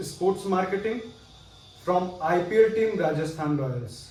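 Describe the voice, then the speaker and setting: Speaking with an Indian accent, a man has a high-pitched voice. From Fatehpur, Uttar Pradesh, India. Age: 20s. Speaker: business school student. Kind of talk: video resume self-introduction.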